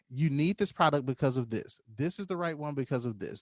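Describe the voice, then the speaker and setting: A man with an ordinary speaking voice, fairly high pitch and lively intonation, in a dry, close sound with no echo. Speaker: business coach. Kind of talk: live online tutorial. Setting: livestream.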